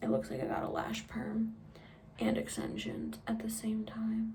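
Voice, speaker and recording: Quiet speech at a moderate pace comes through audible room echo and noticeable background noise. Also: woman. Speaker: beauty vlogger. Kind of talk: makeup tutorial. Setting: at home. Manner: casual, chatty.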